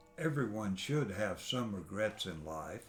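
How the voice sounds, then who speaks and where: Man with a Texan accent at a fairly slow pace. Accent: Texan Southern US. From East Texas. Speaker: grandfather telling his life story. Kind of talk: oral history interview.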